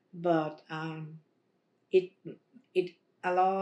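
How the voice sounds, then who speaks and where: In a fairly low pitch, a woman speaks with flat, monotone intonation. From Belize. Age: 60s. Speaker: bereaved mother. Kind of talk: interview testimony. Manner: halting.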